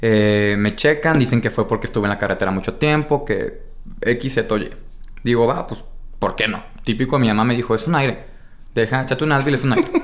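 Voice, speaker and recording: Fairly quick speech in a Mexican accent with ordinary pitch variation. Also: man, medium pitch for a man. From Mexico, Baja California Sur (Los Cabos). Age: 20s. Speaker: marketing director. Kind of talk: casual interview chat.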